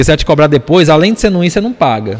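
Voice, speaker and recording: A man's voice with very wide pitch swings. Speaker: entrepreneur and investor. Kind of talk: casual chat.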